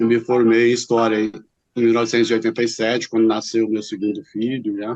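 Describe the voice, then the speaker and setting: Fairly quick, monotone speech from a man, flat in intonation. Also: medium pitch for a man. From Brazil, São Paulo city. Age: 60s. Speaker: teacher and writer. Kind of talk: interview. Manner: halting.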